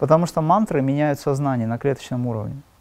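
Fairly high for a man, his voice has a dark, mellow tone, ordinary pitch variation, and a fairly quick pace. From Dagestan, Makhachkala, Russia. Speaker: spiritual teacher and musician. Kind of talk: interview.

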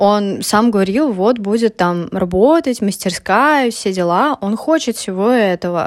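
On a very clean recording with a silent background, a woman of medium pitch talks with lively intonation, very even loudness and hardly any pauses. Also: fairly slow pace. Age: 20s. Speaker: podcaster, university student. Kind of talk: personal monologue podcast. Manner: halting, many filler sounds.

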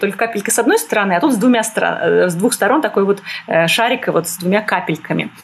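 A woman speaks with lively intonation. Noticeable background noise is present. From Moscow, Russia. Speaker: art historian. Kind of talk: interview. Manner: hesitant, many fillers.

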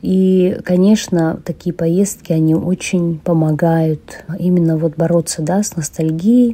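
Somewhat breathy, a woman's voice has a dark, mellow tone and fairly low pitch. She speaks at a very slow pace with fairly even intonation. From Yakutia, Russia. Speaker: emigrant, former English teacher. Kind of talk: interview.

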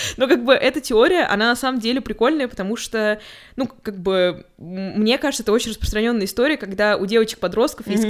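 A woman with a fairly high pitch, against noticeable background noise. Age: 20s. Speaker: podcast co-host. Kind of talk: casual chat. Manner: animated.

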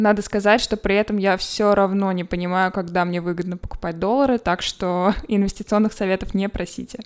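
A woman speaks at a fairly quick pace with hardly any pauses, at a medium pitch. Her intonation is fairly even, and it is a plain, everyday voice. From Moscow, Russia. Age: 20s. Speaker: podcast host. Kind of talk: solo podcast monologue.

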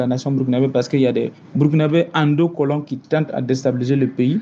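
A man's voice sits fairly high. He talks at a very fast pace. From Burkina Faso. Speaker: activist. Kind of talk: interview. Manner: animated.

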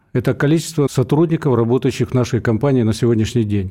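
A man's dark, mellow tone comes at a fairly quick tempo, pitch varying in an ordinary way, with a quiet background. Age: 60s. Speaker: trade union leader. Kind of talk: radio interview.

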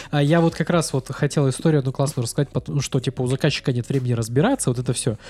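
A somewhat breathy, dark, mellow voice at a very fast pace with hardly any pauses, fairly even intonation, very even loudness and a dry, close sound with no echo. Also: man, medium pitch for a man. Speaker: podcast host. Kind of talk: casual interview chat. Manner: informal, conversational.

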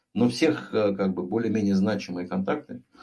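A man talks at a moderate pace with lively intonation. His voice has a dark, mellow tone and vocal fry. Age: 50s. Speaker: sales executive and author. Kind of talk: interview.

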